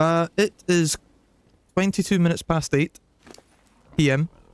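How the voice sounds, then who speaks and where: A man with a Scottish accent speaks at a fairly high pitch, keeping his intonation fairly even. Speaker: gaming streamer. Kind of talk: casual live stream chat. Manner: hesitant, many fillers.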